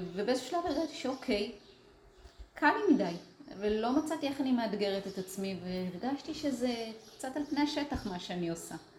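Over noticeable background noise, a woman talks at a moderate pace in a high pitch that swings very widely. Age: 50s. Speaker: artist. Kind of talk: interview conversation.

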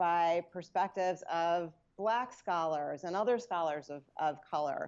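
A woman speaks with an American accent. Her pitch is fairly low, and her pace is very slow. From New York area, US. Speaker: anthropologist and journal editor. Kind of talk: interview. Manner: halting, many fillers and repeats.

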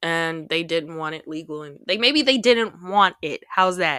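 Her bright, sharp tone is animated, and this woman's intonation is lively. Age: 20s. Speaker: podcast host. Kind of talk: casual chat.

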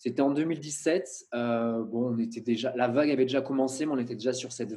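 Fairly even intonation from a man with a medium pitch and a dark, mellow tone. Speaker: videographer. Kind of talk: interview. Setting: video call.

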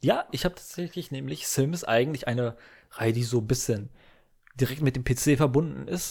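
This man has a somewhat breathy voice at medium pitch. He speaks at a moderate pace with ordinary pitch variation. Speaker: gaming podcaster. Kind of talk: solo casual monologue. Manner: halting, many filler sounds.

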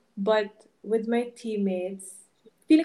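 Her pitch varies in an ordinary way as this woman speaks at a very slow pace. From Philippines. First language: Ilonggo. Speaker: retired volleyball player, fashion student. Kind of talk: casual interview chat, Taglish. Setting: podcast studio.

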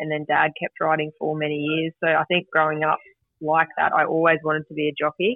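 With a rural Australian accent, a woman speaks at a very deep, low pitch and a fairly quick pace in a monotone, flat intonation. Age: 30s. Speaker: jockey and mine worker. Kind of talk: radio interview.

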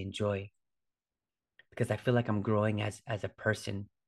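Against a quiet background, a man speaks fairly quickly at a fairly low pitch. His intonation stays monotone and flat. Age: 40s. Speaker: fitness coach and yoga instructor podcast host. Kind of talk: solo podcast monologue. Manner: casual, with frequent fillers and repetitions.

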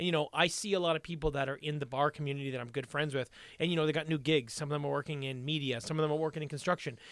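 A man speaks very fast at a fairly high pitch for a man, his intonation fairly even, in a very clean recording with a silent background. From Aurelia. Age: 30s. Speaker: podcast co-host. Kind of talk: casual chat.

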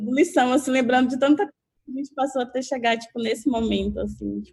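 A woman rattles along at a very fast pace, her intonation fairly even. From interior of Bahia, Catu. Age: 30s. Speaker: photographer. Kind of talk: casual chat. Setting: video call.

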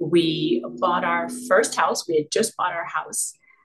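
A woman speaks in a fairly low pitch. Vocal fry runs through her voice. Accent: Canadian. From Canada. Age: 50s. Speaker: image consultant. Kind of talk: interview.

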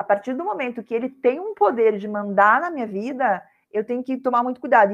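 A woman has an unremarkable speaking voice with a fairly high pitch. She talks at a fairly quick pace, with lively intonation. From southern Brazil, Curitiba. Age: 50s. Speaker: self-love course creator and speaker. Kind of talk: casual interview.

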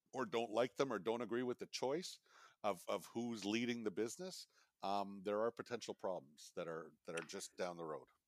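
A man speaks at a medium pitch with ordinary pitch variation, in an unremarkable speaking voice. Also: dry, close sound with no echo. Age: 50s. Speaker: family business advisor. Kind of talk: casual chat.

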